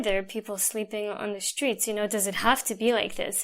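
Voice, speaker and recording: A woman with a normal speaking voice and a fairly high pitch talks at a fairly quick pace with an American accent, in a very clean recording with a silent background. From Russia (Moscow), then New Jersey from childhood. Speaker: world traveler. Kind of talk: interview. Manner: casual, many fillers.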